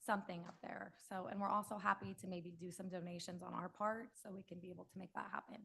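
A woman speaks at a fairly quick pace in a medium pitch, her intonation fairly even. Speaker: public commenter, local resident. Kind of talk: public comment at council meeting. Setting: city council meeting. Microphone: initially too far from mic.

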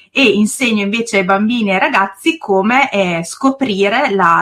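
At a moderate pace, a woman talks in a medium pitch. Her pitch varies in an ordinary way. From northern Italy, province of Reggio Emilia. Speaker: preschool teacher and YouTuber. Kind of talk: interview.

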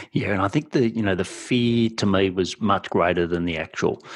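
A man speaks with a strong Australian accent at a fairly low pitch, his pitch moving in an ordinary way against a quiet background. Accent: broad Australian. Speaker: podcast host and business mentor. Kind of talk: interview.

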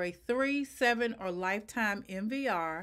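The speaker is a woman. Her surroundings are quiet. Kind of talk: tutorial. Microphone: webcam.

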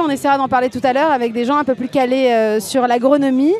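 Over light background noise, a woman with a high pitch speaks at a fairly quick pace, the sound dry with no echo. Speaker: activist TV show host. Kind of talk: casual interview. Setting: outdoor street studio. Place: street. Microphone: handheld.

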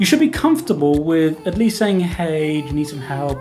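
A woman's very deep, low voice at a fairly quick pace, with clear music in the background. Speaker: podcast co-host. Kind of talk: casual reaction commentary. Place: home room. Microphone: studio mic.

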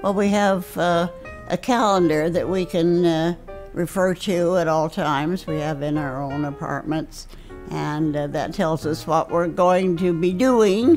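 A woman speaks fairly slowly in a fairly low voice with ordinary pitch variation. Faint music plays in the background. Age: 80s+. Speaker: assisted living resident. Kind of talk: interview answer. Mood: warm, pleased. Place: home room.

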